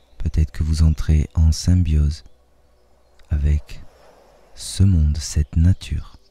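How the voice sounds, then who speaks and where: Speaking very slowly with long, frequent pauses, a man uses a very deep, low, somewhat breathy voice with a dark, mellow, soothing, gentle tone and monotone, flat intonation. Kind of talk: guided hypnosis meditation. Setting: nature sounds of birds and waves in background. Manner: soothing, slow, gentle, dreamy.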